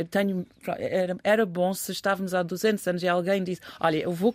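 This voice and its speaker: Here a woman speaks at a moderate pace. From England. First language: English (speaking Portuguese). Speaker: commentator. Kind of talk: casual discussion.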